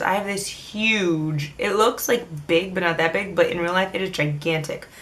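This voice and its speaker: Through noticeable background noise, a woman talks at medium pitch and a moderate pace with ordinary pitch variation. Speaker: beauty vlogger. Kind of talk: casual product review. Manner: jumbled, stumbling speech.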